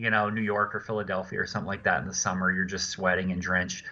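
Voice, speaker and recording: In an American accent, a man speaks at a fairly low pitch. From US South, Louisiana. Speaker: animator and voice actor. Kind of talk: casual chat.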